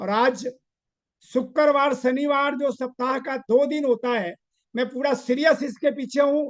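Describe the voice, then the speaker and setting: Extremely high in pitch, a man's voice keeps a fairly even intonation. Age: 70s. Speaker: network marketing leader. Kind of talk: motivational business talk.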